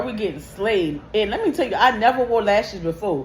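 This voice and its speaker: With lively intonation and a fairly high pitch, a woman speaks over noticeable background noise. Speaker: beauty vlogger and lash tech. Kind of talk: storytime vlog while doing makeup. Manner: loud; animated.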